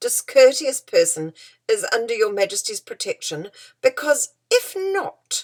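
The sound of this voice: The reading voice sounds unforced. Nothing much stirs in the background.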